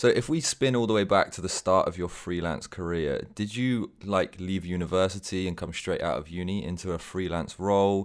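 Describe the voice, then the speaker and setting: A man's very deep, low voice with an English accent, ordinary pitch variation, moderate pace and hardly any pauses, on a very clean recording with a silent background. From England. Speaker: podcast co-host and freelancer. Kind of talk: casual interview.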